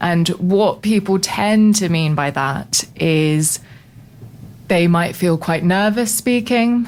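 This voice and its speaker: Very slowly and at very even loudness, a woman with a British accent speaks at a medium pitch with ordinary pitch variation. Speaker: voice coach. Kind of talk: interview. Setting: radio studio.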